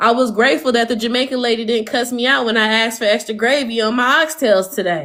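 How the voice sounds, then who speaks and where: Over noticeable background noise, a woman talks at a very fast pace with hardly any pauses, an animated tone, a fairly high pitch and ordinary pitch variation. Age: 30s. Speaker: livestreamer. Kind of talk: casual chat. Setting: livestream.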